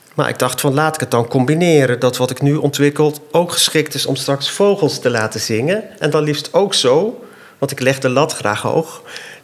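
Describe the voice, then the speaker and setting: A man with a fairly high voice talks at a moderate speed, his pitch moving in a normal way, while noticeable noise sits behind him. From Zambia, Dutch family. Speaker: inventor and designer. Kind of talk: casual interview.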